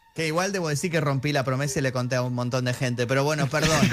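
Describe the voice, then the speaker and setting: A man with an Argentine accent, over noticeable background noise. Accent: Argentine Spanish (Rioplatense). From Argentina. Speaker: film journalist. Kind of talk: casual chat.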